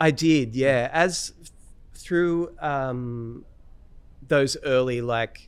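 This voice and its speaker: Speaking very slowly, a man with an Australian accent holds a medium pitch. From Australia, Newcastle NSW. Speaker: fingerstyle guitarist. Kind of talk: interview. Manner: halting, many fillers.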